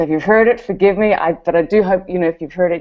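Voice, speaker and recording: A woman with fairly low pitch talks at a very fast pace, her intonation fairly even. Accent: New Zealand. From New Zealand. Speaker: network marketer. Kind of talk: testimony.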